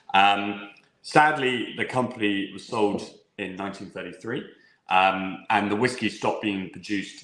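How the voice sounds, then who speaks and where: Speaking with an English accent, a man uses a fairly low pitch at a moderate pace, with audible room echo around him. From England. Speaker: whisky sales manager. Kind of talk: live online tasting presentation. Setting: live online stream.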